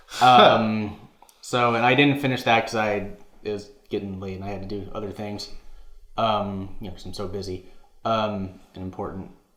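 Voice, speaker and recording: With audible room echo, a man's fairly low voice moves at a moderate pace, fairly even in intonation, with long, frequent pauses and big swings in loudness. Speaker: gaming podcast co-host. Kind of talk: casual chat. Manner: halting, stuttering.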